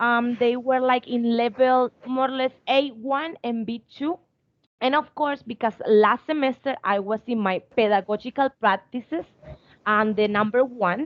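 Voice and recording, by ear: A woman with a fairly high pitch talks at a fairly slow pace, her intonation fairly even.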